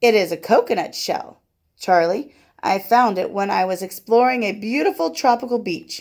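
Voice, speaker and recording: In a put-on character voice, a female-sounding speaker uses a raspy, fairly high pitch at a moderate pace on a very clean recording with a silent background. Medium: read story.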